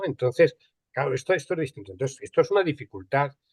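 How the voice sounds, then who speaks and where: A man speaks at a fairly high pitch with vocal fry and lively intonation. The sound is dry and close, with no echo. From Spain, Andalusia. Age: 60s. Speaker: archival and records management expert. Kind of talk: panel conversation. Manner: hesitant, many repetitions and fillers.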